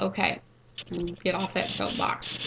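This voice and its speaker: A woman with a Kentucky accent at a fairly slow pace. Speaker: nursing instructor. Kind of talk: lecture. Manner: halting, many fillers and restarts.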